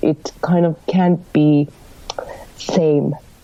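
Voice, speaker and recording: A woman's very deep, low voice in a Finnish accent, very slow, over noticeable background noise. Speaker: rock band lead singer. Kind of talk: casual interview. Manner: halting, searching for words.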